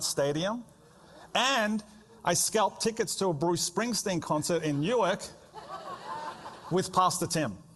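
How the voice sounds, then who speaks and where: Here a man speaks slowly-ish, at a fairly slow pace, in a high pitch with ordinary pitch variation. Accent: Australian. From Australia (Melbourne). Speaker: pastor. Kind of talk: sermon.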